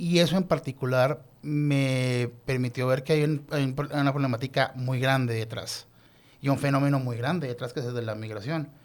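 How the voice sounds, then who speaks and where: A man with a Colombian accent speaks at a moderate pace. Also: medium pitch for a man, fairly even intonation. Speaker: lawyer and doctoral researcher. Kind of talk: podcast interview.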